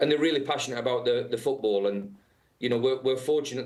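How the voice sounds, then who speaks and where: A man's medium-pitched voice with a British accent. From England. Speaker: football head coach. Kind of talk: interview. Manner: halting, many fillers.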